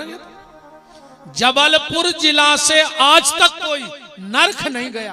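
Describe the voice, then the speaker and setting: Music plays in the background as a man speaks with a Bundelkhand accent. His raised, projected voice sits at an extremely high pitch. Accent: Bundeli. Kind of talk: religious discourse to a live audience. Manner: humorous, lively.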